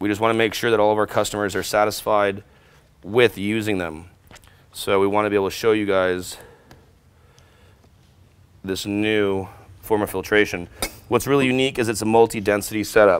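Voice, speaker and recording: The delivery is fairly quick, with a monotone, flat intonation. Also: man. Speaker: equipment demonstrator. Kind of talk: tutorial. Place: workshop. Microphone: lapel.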